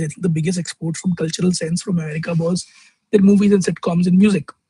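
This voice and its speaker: A high-pitched man with a Delhi accent at a very fast pace, fairly even intonation, and a dry, close sound with no echo. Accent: Indian English (Delhi). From North India (Delhi). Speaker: vlogger. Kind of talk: casual vlog monologue. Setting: outdoors in the sun at a fast-food restaurant.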